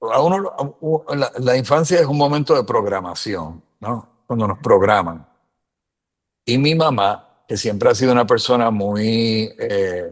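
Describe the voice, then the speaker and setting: A man with a medium pitch speaks with lively intonation. He talks in a Puerto Rican accent. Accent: Puerto Rican accent when speaking English. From Puerto Rico. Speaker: immigrant sharing experiences. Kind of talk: casual interview chat.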